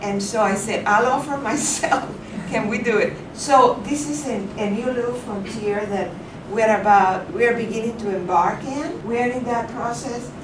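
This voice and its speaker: Noticeable background noise and audible room echo surround a woman's fairly high voice. She speaks at a moderate pace with ordinary pitch variation. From Cuba, Havana. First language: Spanish. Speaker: vocation director. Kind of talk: speech at reception.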